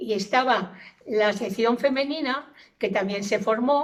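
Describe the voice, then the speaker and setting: Her pitch is fairly high with ordinary pitch variation as the woman speaks at a very slow pace. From Valencia province, Spain. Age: 80s+. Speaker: elderly interviewee. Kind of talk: oral history testimony.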